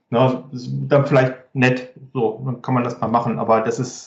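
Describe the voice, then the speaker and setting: A man speaks in a somewhat breathy voice. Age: 40s. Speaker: business applications expert. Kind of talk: casual chat.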